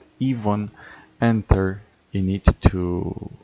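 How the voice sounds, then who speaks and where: A man with a non-native accent and a dark, mellow tone at a fairly low pitch. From Romania. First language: not English. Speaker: gaming streamer. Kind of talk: live stream chat. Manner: hesitant with many fillers.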